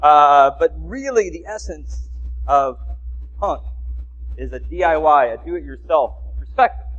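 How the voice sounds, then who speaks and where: A man speaks fairly slowly, with long, frequent pauses and big swings in loudness. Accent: American. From US South, Mississippi. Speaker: lay speaker at a congregation. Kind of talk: talk to a congregation.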